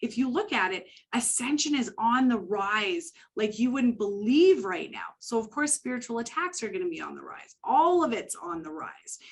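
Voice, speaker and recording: At a moderate pace, a woman speaks with a fairly high pitch and very wide pitch swings. Her loudness swings widely over a quiet background. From Canada. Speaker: psychic medium. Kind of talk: interview.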